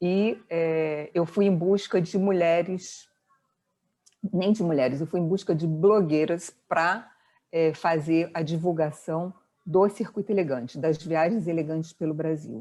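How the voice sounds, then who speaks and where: At a fairly slow pace, a woman speaks in a fairly low pitch with a dark, mellow tone and fairly even intonation. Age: 60s. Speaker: entrepreneur, business founder. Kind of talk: interview conversation. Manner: hesitant, many fillers and repetitions.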